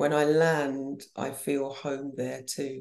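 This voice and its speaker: A woman speaks in a southern English accent. Her pitch is very deep and low, with a dark, mellow tone. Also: quiet background. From Banbury, Oxfordshire, England. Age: 60s. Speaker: fashion designer and podcast host. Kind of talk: casual chat.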